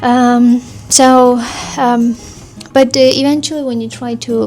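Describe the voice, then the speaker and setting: A woman is speaking over noticeable background noise. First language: Armenian. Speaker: vlogger, language learner. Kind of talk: casual vlog review. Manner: hesitant, many fillers.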